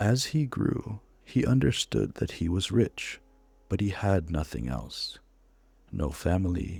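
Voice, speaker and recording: Soft-spoken and at a fairly slow pace, a man talks with vocal fry and very wide pitch swings. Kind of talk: reading an in-game book aloud as a story. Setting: recorded as gameplay commentary over a game. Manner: soft-spoken, calm, soothing.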